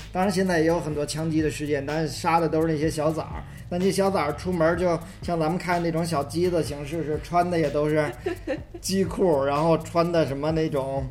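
The room echo is audible as a man speaks at a fairly quick pace. His pitch is fairly high and his intonation flat and monotone. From Beijing, southern city. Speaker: podcast co-host. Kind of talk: casual chat.

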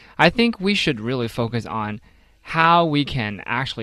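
A man with a Chinese accent talks at a fairly slow pace in a bright, sharp tone. The recording is very clean, with a silent background. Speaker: radio co-host. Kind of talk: radio panel discussion. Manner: animated.

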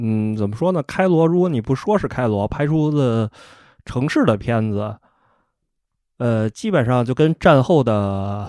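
On a very clean recording with a silent background, a man speaks at a fairly slow pace and medium pitch, his sound dry and close with no echo. His tone is dark and mellow, with lively intonation. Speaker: host's husband, first-time podcast guest. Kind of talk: casual chat. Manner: terse, reluctant talker.

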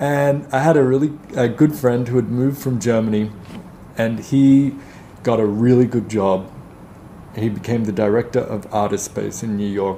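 Someone with an Australian accent talks at a moderate pace with long, frequent pauses over noticeable background noise. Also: man, medium pitch for a man, ordinary pitch variation. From Australia, Melbourne. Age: 30s. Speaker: art advisor. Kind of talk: interview.

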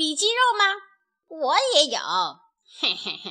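In a put-on character voice with a bright, sharp tone, the speaker goes at a fairly slow pace with very wide pitch swings. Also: woman, high pitch for a woman.

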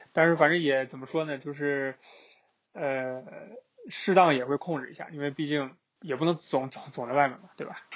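A man with a fairly high pitch speaks at a moderate pace with long, frequent pauses, fairly even intonation and big swings in loudness. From northeast China. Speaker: road-tripping guest. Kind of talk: casual chat. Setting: remote call. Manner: halting, many fillers.

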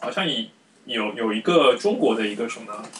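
Noticeable background noise runs under this clip. The man's pitch swings very widely. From Shanghai, China. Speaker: podcast host. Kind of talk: casual chat.

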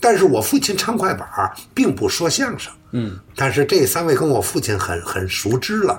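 Over noticeable background noise, a man with a fairly high pitch talks at a moderate pace with very wide pitch swings. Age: 60s. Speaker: crosstalk comedian. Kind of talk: casual interview.

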